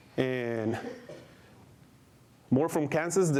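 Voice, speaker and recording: The voice comes with a Mexican accent and audible room echo. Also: man. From Mexico. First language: Spanish. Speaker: adult education director. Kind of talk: conference presentation. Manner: halting, many fillers.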